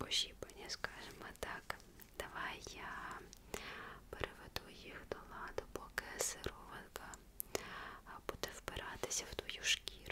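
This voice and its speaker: Whispering in a gentle tone, a woman talks at a very slow pace with long, frequent pauses. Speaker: ASMR content creator. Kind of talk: ASMR roleplay, close-up personal attention. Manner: soft, whispered, gentle. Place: home room.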